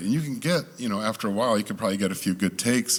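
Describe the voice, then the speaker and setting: Animated in tone, a man talks at a very fast pace with lively intonation. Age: 60s. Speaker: sound engineer and producer. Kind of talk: panel discussion.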